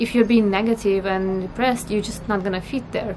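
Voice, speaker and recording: A woman with a Russian accent speaks at a medium pitch, her intonation fairly even. Noticeable background noise runs underneath. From northern Russia. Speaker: vlogger. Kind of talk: casual vlog talk to camera.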